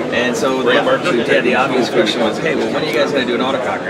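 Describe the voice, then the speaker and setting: A man races through his words at a very fast pace while loud background noise fills the clip. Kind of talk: product demo interview. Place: hall. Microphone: camera far.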